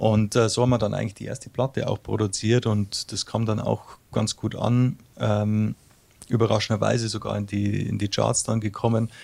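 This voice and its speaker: A man speaks with a Bavarian accent at a fairly quick pace. His voice is fairly low in pitch, with fairly even intonation. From Bavaria, Munich area. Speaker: singer-songwriter. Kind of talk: interview. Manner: hesitant, many fillers.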